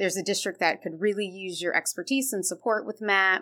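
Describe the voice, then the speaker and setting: A woman speaks in a plain, everyday voice at a medium pitch and a fairly quick pace, on a very clean recording with a silent background. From Ohio, Columbus. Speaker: education consultant. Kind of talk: podcast interview.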